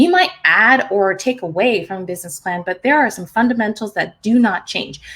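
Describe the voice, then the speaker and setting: Her voice somewhat breathy and fairly high, a woman talks at a fairly quick pace with lively intonation. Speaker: marketing educator. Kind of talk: tutorial. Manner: casual, with many fillers.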